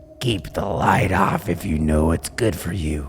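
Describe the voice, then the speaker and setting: A man's raspy put-on character voice, very deep and low in pitch, with clear background noise. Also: moderate pace. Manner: menacing, hissing.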